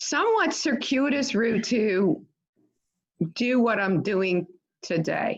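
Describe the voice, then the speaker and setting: A woman with a New York accent talks at a very slow pace with long, frequent pauses, her fairly high pitch swinging very widely. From New York City, Staten Island. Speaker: infectious disease physician, professor. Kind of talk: talk to a club audience.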